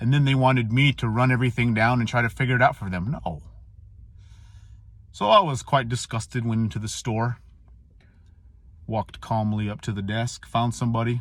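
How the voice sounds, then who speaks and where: This man speaks at a fairly quick pace and medium pitch, his intonation fairly even, broken by long, frequent pauses. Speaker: Marine veteran. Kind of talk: casual monologue.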